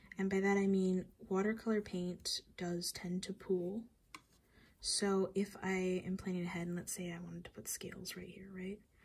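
A woman with a medium pitch speaks in a somewhat breathy voice at a moderate pace, her intonation monotone and flat, with big swings in loudness. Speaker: watercolor artist. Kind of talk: art tutorial talk to camera. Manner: mumbling; casual, hesitant.

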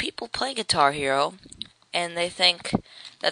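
Amid noticeable background noise, a man speaks in a playful tone. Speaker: video game let's player and YouTube vlogger. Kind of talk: angry rant, mock-indignant opinion monologue to camera. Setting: home webcam video recording. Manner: rambling and playful, with goofy asides, laughs and stumbles.

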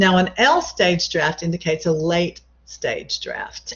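A woman talks at a fairly low pitch and sounds somewhat breathy. Her intonation stays fairly even. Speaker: college English instructor. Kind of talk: lecture. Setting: video call.

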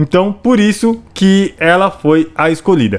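A man speaks at a fairly slow pace in an enthusiastic tone. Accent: São Paulo. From Brazil, São Paulo city. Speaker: gaming YouTuber. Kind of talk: video narration over gameplay. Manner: casual, enthusiastic.

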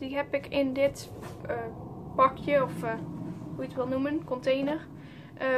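A woman speaks at a high pitch over noticeable background noise. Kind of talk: casual show-and-tell vlog.

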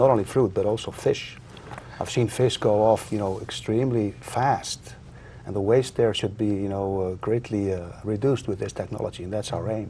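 A man with an Icelandic accent talks at a fairly quick pace in a fairly low pitch, his intonation fairly even over light background noise. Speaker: inventor; guest. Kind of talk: interview. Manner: halting. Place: studio. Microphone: lapel.

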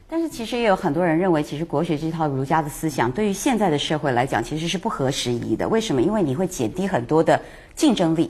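A woman talks at a very fast pace with lively intonation. Her voice is fairly low in pitch and somewhat breathy. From Taiwan. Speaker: talk show guest commentator. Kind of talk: casual chat.

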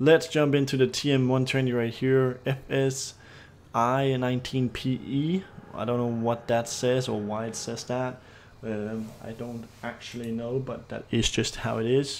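A man with a Danish accent, at a very slow pace. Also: medium pitch for a man, fairly even intonation. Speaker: gaming YouTuber. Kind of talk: gameplay commentary.

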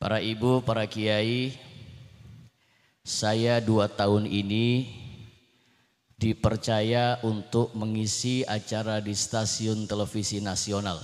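Very slow and full of long, frequent pauses, a man speaks in a fairly low, monotone, flat voice against a quiet background. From Jakarta, Indonesia (born in Cirebon); Jakarta, Indonesia. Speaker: Islamic preacher. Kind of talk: sermon. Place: stage. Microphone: handheld.

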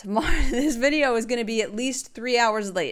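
Her pace is fairly quick, with ordinary pitch variation. The woman is recorded against a quiet background. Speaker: gaming video creator. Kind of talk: casual vlog chat. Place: home room.

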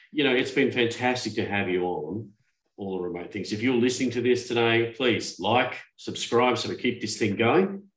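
The speech moves at a moderate pace with ordinary pitch variation, audible room echo and a quiet background. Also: man, medium pitch for a man. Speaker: podcast host. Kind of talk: casual chat. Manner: halting. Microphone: video call.

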